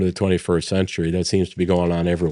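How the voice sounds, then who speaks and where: A man speaks at a fairly quick pace in a very deep, low pitch, his dark, mellow tone held in monotone, flat intonation against a quiet background. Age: 60s. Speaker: energy company executive. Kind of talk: interview.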